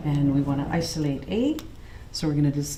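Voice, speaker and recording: A woman with a Canadian accent and lively intonation, amid audible room echo and noticeable background noise. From Canada, Manitoba (early childhood in Trinidad). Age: 50s. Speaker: high school teacher. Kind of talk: classroom teaching; documentary interview.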